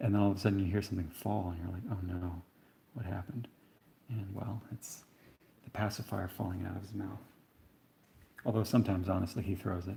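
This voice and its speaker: A soft-spoken man with a fairly low pitch and a dark, mellow, somewhat breathy tone, fairly even intonation, a very fast pace and long, frequent pauses. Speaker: painter. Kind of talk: live-stream painting tutorial. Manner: relaxed, conversational.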